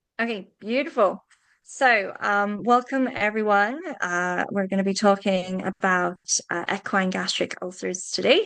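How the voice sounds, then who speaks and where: A woman with a British accent at a moderate pace, medium in pitch with ordinary pitch variation, over a quiet background. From UK. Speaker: veterinarian. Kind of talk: webinar presentation.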